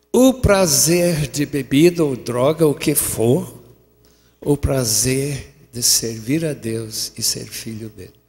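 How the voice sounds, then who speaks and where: A man speaks at a very slow pace with ordinary pitch variation and big swings in loudness, music playing in the background. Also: medium pitch for a man. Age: 80s. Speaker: preacher. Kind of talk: sermon.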